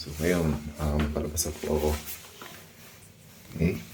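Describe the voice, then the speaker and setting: The man's voice is very deep and low. He speaks at a very slow pace. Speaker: travel vlogger. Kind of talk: vlog hotel tour. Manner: casual, halting.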